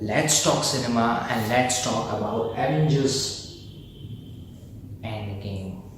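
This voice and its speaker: A man speaks at a very slow pace with ordinary pitch variation. Audible room echo and noticeable background noise surround him. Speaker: film youtuber. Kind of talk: casual review monologue. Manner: loud; animated.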